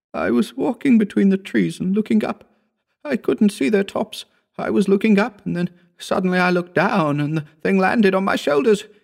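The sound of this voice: A man puts on a character voice pitched high for a man, with lively intonation and vocal fry. The recording is very clean, the background silent. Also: moderate pace.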